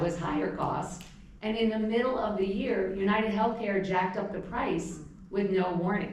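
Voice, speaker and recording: With noticeable background noise and audible room echo, a woman talks at a moderate pace in a medium pitch with fairly even intonation. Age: 60s. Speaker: panelist sharing personal experience. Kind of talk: panel talk to audience. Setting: stage with audience. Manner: loud; conversational. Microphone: microphone problems.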